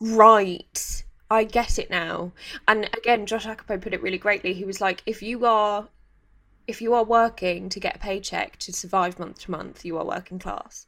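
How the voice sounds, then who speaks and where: A woman with a plain, everyday voice talks at a moderate pace and medium pitch, her intonation fairly even while her loudness swings widely. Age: 30s. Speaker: podcast host. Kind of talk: casual interview chat.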